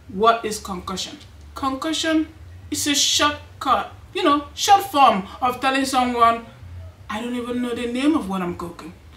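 Her speech moves at a moderate pace, and she is a woman. The room around her voice has audible echo. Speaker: cooking channel host. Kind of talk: casual cooking vlog chat. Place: home room.

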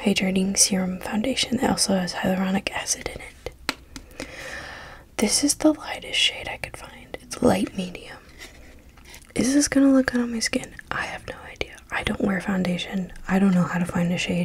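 Soft-spoken, a woman talks at a moderate pace with ordinary pitch variation. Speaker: ASMR creator. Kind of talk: ASMR soft-spoken haul video, casual talk to camera. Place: home room. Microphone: studio mic.

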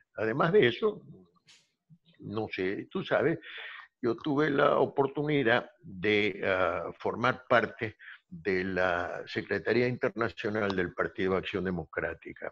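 A man speaks very slowly, and the background around him is quiet. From Argentina, Buenos Aires. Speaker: law professor. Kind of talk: interview. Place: home room. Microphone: video call.

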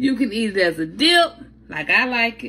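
With big pitch swings, a woman speaks at a moderate pace in a fairly bright tone that carries a slightly husky edge.

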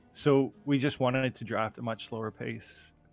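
Music plays behind a man's voice. He speaks at a fairly slow pace. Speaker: esports player being interviewed. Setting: online voice chat lobby. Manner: low volume, needed turning up.

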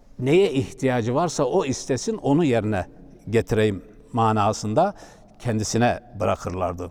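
A man's medium-pitched voice, a normal speaking voice, with very even loudness, a moderate pace and lively intonation. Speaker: Islamic preacher. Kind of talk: religious talk.

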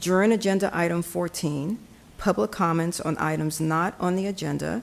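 This is a woman with a normal speaking voice. Her pitch sits fairly low and varies in an ordinary way. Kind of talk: formal meeting announcements. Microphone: podium.

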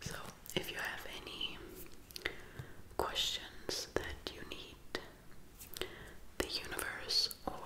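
A woman whispering very slowly, with long, frequent pauses and big swings in loudness. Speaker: ASMR creator. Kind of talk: ASMR whispered reading. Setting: close-up microphone, studio. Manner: whispered, soft, slow. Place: home room. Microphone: phone near.

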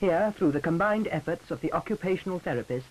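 Lively intonation runs through a normal speaking voice. It moves at a fairly quick pace. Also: man. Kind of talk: 1950s educational film narration. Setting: archive film soundtrack. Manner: formal, measured, earnest.

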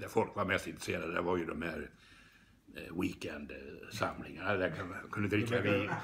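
At a moderate pace, a man talks with a very deep, low pitch and ordinary pitch variation over light background noise. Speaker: psychologist and teacher. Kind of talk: interview answer. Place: home room. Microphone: phone near.

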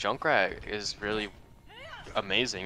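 A man is speaking. Music plays in the background. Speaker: esports co-caster. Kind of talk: live commentary.

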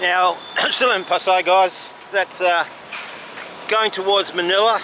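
A man speaks at a very slow pace in a dry sound with no echo. Noticeable background noise runs underneath. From Australia. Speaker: travel vlogger. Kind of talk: casual vlog narration while walking. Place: street. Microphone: phone near.

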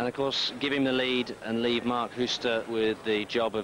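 Noticeable background noise sits behind a man speaking at a medium pitch. His tone is animated and his pace moderate. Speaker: expert co-commentator, weightlifting analyst. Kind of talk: live sports commentary, expert analysis. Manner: animated, opinionated, technical; conversational, excited at big lifts.

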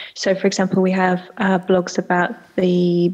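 A woman speaks over a quiet background. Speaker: remote panelist. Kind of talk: panel talk. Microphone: video call.

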